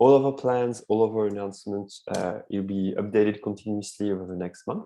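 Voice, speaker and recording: Speaking with a French accent, a man with a fairly low pitch and a dark, mellow tone keeps a fairly even intonation. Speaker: advocacy network coordinator hosting a call. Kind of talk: online meeting presentation. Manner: hesitant, many fillers.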